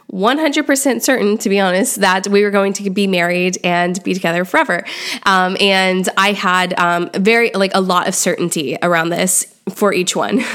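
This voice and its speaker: At a moderate pace, a woman with a medium pitch speaks with very even loudness and hardly any pauses. Noticeable background noise runs underneath. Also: ordinary pitch variation. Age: 30s. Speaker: podcast host. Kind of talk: solo monologue life update. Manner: casual, many filler ums.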